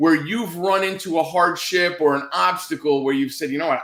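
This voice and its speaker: A man with a high pitch and an animated tone at a fairly quick pace. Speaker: podcast host. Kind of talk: interview.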